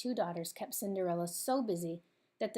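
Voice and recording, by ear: The passage is heard as reading aloud in a natural voice.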